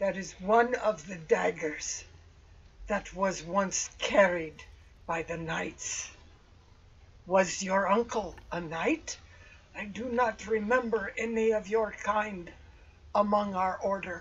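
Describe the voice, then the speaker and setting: A put-on character voice at middle pitch, fairly slow, with long, frequent pauses. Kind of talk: archaic formal speech. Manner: solemn, grave, formal.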